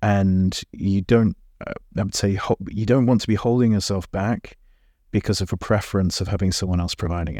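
With a British accent, a man talks at a fairly quick pace in a dark, mellow, fairly low voice with fairly even intonation. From England. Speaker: hypnotherapist. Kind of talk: interview conversation.

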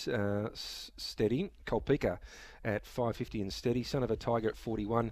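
In a very clean recording with a silent background, a man talks with an Australian accent. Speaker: radio host. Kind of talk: casual radio chat. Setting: radio studio.

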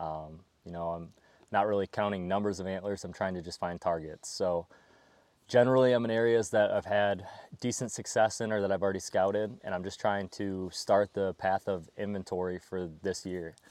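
A man talks in a plain, everyday voice with an American accent. His pace is moderate and his intonation fairly even. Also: fairly low pitch for a man. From southwestern New York. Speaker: public land hunter and filmmaker. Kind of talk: casual interview. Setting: outdoors.

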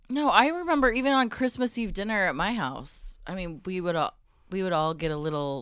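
At a fairly quick pace, a woman of medium pitch speaks with very wide pitch swings on a very clean recording with a silent background. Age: 40s. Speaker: assistant. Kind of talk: casual chat.

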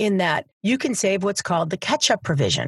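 The sound is dry and close with no echo. A woman with a medium-pitched, somewhat breathy voice speaks at a moderate pace, her pitch swinging very widely. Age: 50s. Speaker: financial advisor and podcast host. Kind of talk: solo podcast talk. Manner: conversational.

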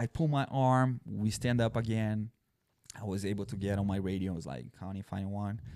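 Speaking at a moderate pace, a man with a Brazilian accent has a fairly low pitch, a dark, mellow tone and ordinary pitch variation. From southern Brazil. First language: Portuguese. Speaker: former police officer and army veteran. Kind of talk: casual chat.

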